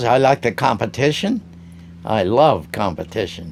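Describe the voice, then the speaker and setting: In a very clean recording with a silent background, a man talks at a moderate pace with vocal fry. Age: 90s. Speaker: craftsman. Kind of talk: interview.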